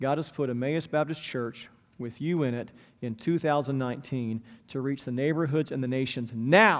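Speaking in a plain, everyday voice, a man keeps a moderate pace, a medium pitch and ordinary pitch variation. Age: 40s. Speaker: pastor. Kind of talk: sermon.

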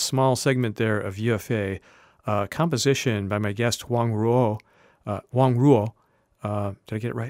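Over a very clean recording with a silent background, a man speaks in a plain, everyday voice at a medium pitch. His pace is moderate and his intonation fairly even. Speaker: radio host. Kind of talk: radio interview.

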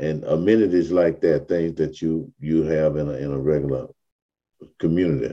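A man's very deep, low voice with a dark, mellow tone, fairly even intonation and an American accent. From US South, Africatown, Mobile, Alabama. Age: 70s. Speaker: community historian and activist. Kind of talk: interview.

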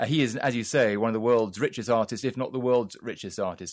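A British accent marks the speech. The recording is very clean and the background is silent. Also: man. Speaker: arts journalist. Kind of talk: news interview.

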